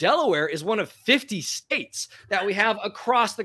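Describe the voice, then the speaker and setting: A man's high-pitched, raised, projected voice with a bright, sharp tone, lively intonation and an American accent, on a very clean recording with a silent background. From US West Coast, Portland, Oregon. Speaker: author and journalist. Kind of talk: interview.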